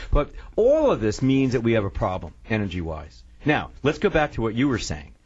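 With an American accent, a man talks at a fairly quick pace in a medium pitch, somewhat breathy and with very wide pitch swings. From upstate New York, Syracuse. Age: 60s. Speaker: radio talk show host. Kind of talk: talk radio interview.

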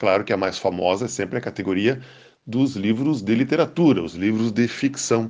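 Against a quiet background, a man uses a normal speaking voice at a medium pitch, moderate in pace with ordinary pitch variation. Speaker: radio book columnist. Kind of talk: radio commentary.

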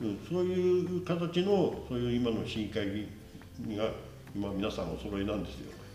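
Amid noticeable background noise and audible room echo, a man speaks at medium pitch and a moderate pace with very wide pitch swings. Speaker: city council vice chairman. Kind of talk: casual interview.

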